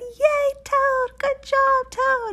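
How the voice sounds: A woman uses a put-on character voice pitched extremely high, with a bright, sharp tone. She talks very slowly with fairly even intonation.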